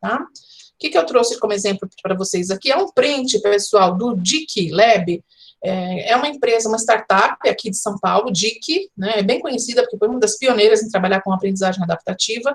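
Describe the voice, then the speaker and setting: Breathing through a somewhat breathy voice, a woman speaks with hardly any pauses. Her pitch is fairly high, with ordinary variation. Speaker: professor, educational design speaker. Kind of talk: online conference lecture. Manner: fast.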